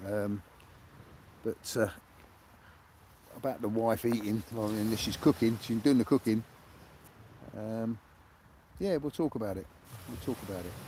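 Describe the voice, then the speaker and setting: Speaking with a British accent at a moderate pace, a man uses a medium pitch with ordinary variation and a dark, mellow tone, pausing long and often. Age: 70s. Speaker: sea angler livestreamer. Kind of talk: live stream chat. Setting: outdoors on a beach. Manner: halting.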